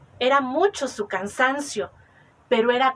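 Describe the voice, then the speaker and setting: A woman speaks at a high pitch in a Mexican accent. Her pace is very slow. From Mexico. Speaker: oral storyteller. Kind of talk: oral legend storytelling.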